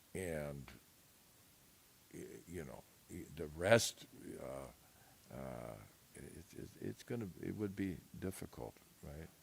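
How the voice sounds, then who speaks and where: Very slowly, a man with an American accent talks in a very deep, low voice with vocal fry and lively intonation. His loudness swings widely, and he takes long, frequent pauses. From US Pacific Northwest, Seattle. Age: 70s. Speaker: jazz musician. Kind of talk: interview. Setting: live stream from a museum. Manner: halting, many fillers and restarts.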